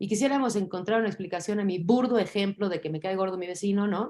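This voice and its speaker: The recording is very clean, with a silent background. A woman with a plain, everyday voice talks at a medium pitch and fairly quick pace with ordinary pitch variation. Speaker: teacher. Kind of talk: lecture.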